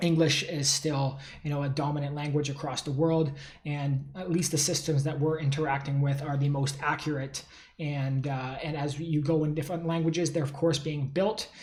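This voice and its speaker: A man speaks in a monotone, flat intonation. There is noticeable background noise. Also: fairly high pitch for a man. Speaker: tech company founder. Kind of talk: solo talk to camera. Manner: fast; casual with many fillers.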